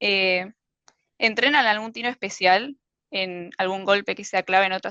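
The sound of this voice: Speaking at a moderate pace and medium pitch, a woman has a clear, smooth yet bright, sharp tone and fairly even intonation, in a dry, close sound with no echo.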